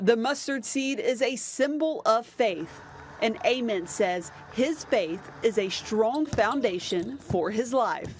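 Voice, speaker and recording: Very slow female speech against noticeable background noise. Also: fairly high pitch for a woman, lively intonation. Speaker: sports reporter. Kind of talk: TV news package narration.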